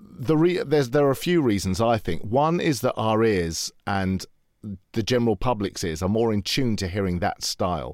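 A man speaks with a British accent and lively intonation. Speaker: voiceover artist. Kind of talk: interview commentary.

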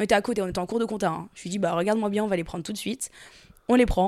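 A woman at medium pitch, very fast pace and fairly even intonation. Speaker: content creator and podcaster. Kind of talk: casual chat.

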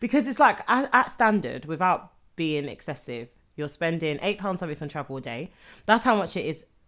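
Fairly quick speech in a London accent, with very wide pitch swings and big swings in loudness, on a very clean recording with a silent background. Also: woman, fairly low pitch for a woman. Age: young. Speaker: podcast co-host. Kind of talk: casual chat.

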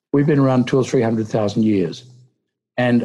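A man with a dark, mellow tone and an Australian accent. His pitch sits in the middle range. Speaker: human rights lawyer and political candidate. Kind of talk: interview.

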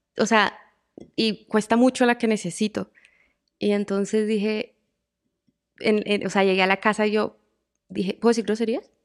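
A woman in a Colombian accent, fairly high-pitched and monotone, at a moderate pace with long, frequent pauses over a quiet background. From Colombia, Bucaramanga. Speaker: singer-songwriter. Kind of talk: interview conversation.

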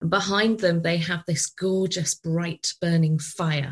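A woman speaks with a British accent at a fairly slow pace, her pitch fairly low. Her voice is somewhat breathy, and her intonation stays fairly even. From UK. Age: 40s. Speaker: podcast host, business coach. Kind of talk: interview conversation; psychic card reading.

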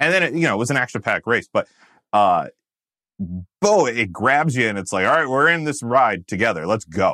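In a very clean, dry and close recording with a silent background and no echo, a man with a General American accent speaks at a medium pitch in a bright, sharp tone with very wide pitch swings. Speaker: podcast host. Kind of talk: casual chat.

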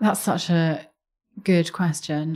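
In a London accent, a woman speaks at a fairly slow pace with fairly even intonation. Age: 30s. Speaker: charity chief executive. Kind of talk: interview.

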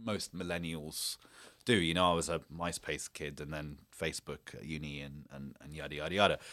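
In a very clean recording with a silent background, a man with a British accent speaks at a moderate pace in a very deep, low voice with a bright, sharp tone, fairly even intonation, and big swings in loudness. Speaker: journalist and filmmaker. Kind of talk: interview. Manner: halting, many repetitions.

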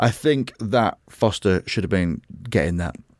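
Recorded very cleanly against a silent background, the sound is dry and close with no echo. A man speaks at a fairly low pitch with an English accent. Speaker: podcast host, comedian. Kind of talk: casual chat.

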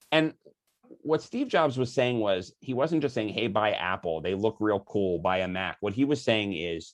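A man with an American accent speaks in a fairly low voice with very wide pitch swings against a quiet background. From US Northeast, Philadelphia. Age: 40s. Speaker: author and marketing company founder. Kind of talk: podcast interview.

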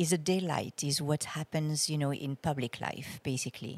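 A woman talks in a very deep, low pitch with a French accent. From France. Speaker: astrologer and musician. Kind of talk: casual interview conversation.

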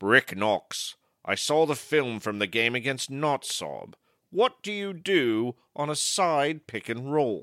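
In a very clean recording with a silent background, a man puts on a character voice at medium pitch and talks at a fairly slow pace. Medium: comedy sketch. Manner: grandiose, mysterious.

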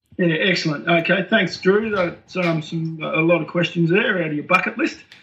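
Noticeable background noise behind a man with an Australian accent, high pitch, ordinary pitch variation, and a moderate pace. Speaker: military veteran. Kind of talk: casual chat.

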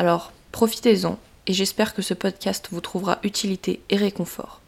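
A woman talks at a moderate pace and medium pitch, with vocal fry. Her intonation stays fairly even. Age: 20s. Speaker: podcast host, social media influencer and student. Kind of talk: solo podcast monologue, partly scripted. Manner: warm, informal.

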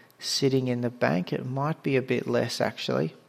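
Against noticeable background noise, a man with an Australian accent speaks at a medium pitch. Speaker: podcast host, fantasy rugby league. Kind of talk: casual chat, podcast. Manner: casual, conversational.

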